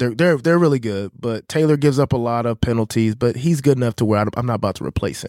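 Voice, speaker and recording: A very clean recording with a silent background of a man talking at a very fast pace, with ordinary pitch variation. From Kansas City, Missouri, US Midwest. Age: 30s. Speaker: podcast host. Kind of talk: casual chat. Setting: studio.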